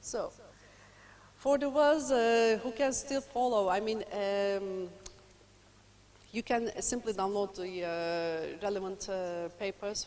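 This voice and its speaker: In a Turkish accent, a woman talks at a medium pitch. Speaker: lecturer. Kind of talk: lecture. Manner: fast.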